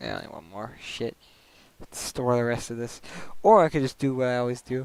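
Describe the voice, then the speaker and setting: A man with an unremarkable speaking voice and medium pitch talks at a fairly quick pace. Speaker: gaming streamer. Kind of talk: casual live stream chat while playing. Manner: casual, filler-heavy.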